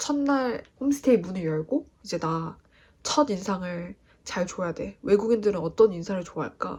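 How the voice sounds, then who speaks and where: A woman speaks at a fairly slow pace. Her voice is somewhat breathy, with a medium pitch. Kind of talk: casual talk to camera.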